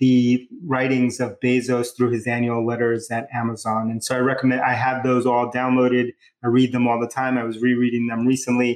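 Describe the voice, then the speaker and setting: A man with a New York accent speaks at a medium pitch. His delivery is monotone and flat at a moderate pace. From New York City, Bronx and Queens. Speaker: tech company founder and CEO. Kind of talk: interview, casual chat.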